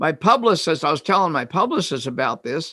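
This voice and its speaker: At a moderate pace, a man speaks in a high, bright, sharp tone with lively intonation. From Kansas. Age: 70s. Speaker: retired psychologist and author. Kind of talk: interview. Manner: halting.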